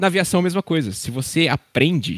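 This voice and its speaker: A man talks at a moderate pace. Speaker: airline pilot. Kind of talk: casual chat.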